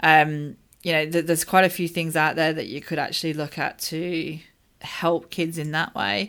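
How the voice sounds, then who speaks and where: The voice carries an Australian accent. It moves at a moderate pace with fairly even intonation. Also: woman, fairly low pitch for a woman. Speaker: teaching expert, educator. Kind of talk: casual chat. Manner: hesitant, many fillers.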